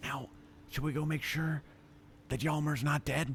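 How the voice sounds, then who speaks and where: A raspy, put-on character voice speaks at a moderate pace with monotone, flat intonation. Clear background noise can be heard. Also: man, fairly high pitch for a man. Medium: actual play. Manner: eager, impulsive.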